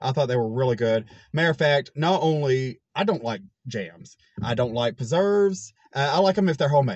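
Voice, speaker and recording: A man speaks in a somewhat breathy voice. The background is quiet and the sound is dry with no echo. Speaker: food reviewer. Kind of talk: casual vlog chat. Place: car. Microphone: phone near.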